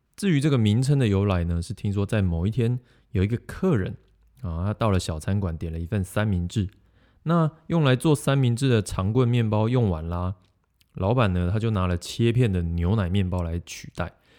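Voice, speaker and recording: With a dark, mellow tone and a fairly low pitch, a man speaks at a moderate pace with lively intonation, recorded with a dry, close sound and no echo. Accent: Taiwanese. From Taiwan, Yunlin. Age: 30s. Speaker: podcast host. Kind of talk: casual monologue about food and stories.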